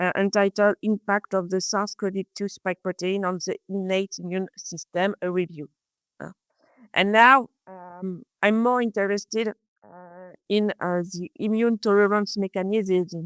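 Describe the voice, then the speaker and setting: With a French accent and medium pitch, a woman speaks at a fairly slow pace with fairly even intonation and big swings in loudness, on a very clean recording with a silent background and a dry, close sound with no echo. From France. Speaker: research biologist. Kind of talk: interview. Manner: halting, many hesitations.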